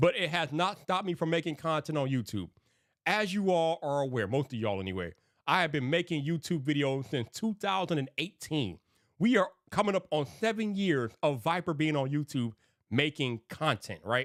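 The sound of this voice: A man's fairly high, fairly bright voice at a moderate pace with lively intonation, on a very clean recording with a silent background.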